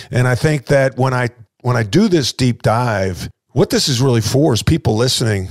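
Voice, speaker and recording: In a New York accent, a man speaks at a moderate pace with medium pitch and ordinary pitch variation, the recording very clean with a silent background and a dry, close sound with no echo. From Long Island, New York. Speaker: podcast host, former basketball coach. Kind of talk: interview.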